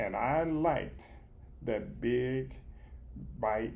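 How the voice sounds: A man's fairly low, slightly mellow voice with vocal fry, at a very slow pace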